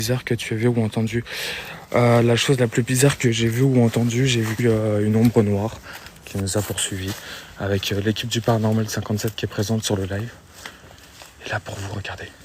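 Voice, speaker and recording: A man talks in a monotone, flat voice, leaving long, frequent pauses. Noticeable background noise runs beneath him. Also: medium pitch for a man. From France, Meurthe-et-Moselle (54). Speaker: urban explorer streamer. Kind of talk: live stream narration. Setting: abandoned building, exploring live. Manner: soft-spoken, speaking quietly.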